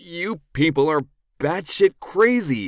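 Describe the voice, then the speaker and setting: Delivered at a fairly slow pace, this is a put-on character voice. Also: man. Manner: exasperated.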